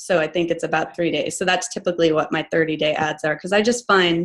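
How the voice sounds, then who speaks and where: A woman talking at a fairly quick pace with fairly even intonation over a quiet background. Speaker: online business coach. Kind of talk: tutorial. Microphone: video call.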